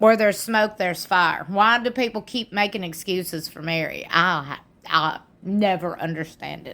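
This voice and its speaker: A woman with a Southern US accent, a bright, sharp tone, ordinary pitch variation and big swings in loudness. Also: medium pitch for a woman, moderate pace. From US South. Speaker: YouTube commentator. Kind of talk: casual commentary reading fan comments. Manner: animated.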